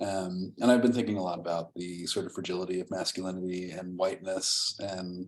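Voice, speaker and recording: A man's very deep, low voice at a fairly quick pace, flat and monotone. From Rhode Island. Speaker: ceramic artist. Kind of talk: artist talk.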